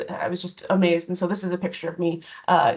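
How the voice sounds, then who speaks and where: Very fast pace, with a Canadian accent. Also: woman. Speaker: diversity and inclusion educator. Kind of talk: online presentation. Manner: hesitant, many fillers.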